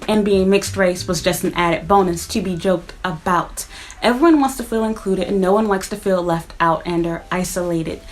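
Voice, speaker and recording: A woman with an American accent at a medium pitch and fairly quick pace, with ordinary pitch variation and noticeable background noise. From United States. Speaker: YouTuber, vlogger. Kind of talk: casual vlog monologue. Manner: conversational.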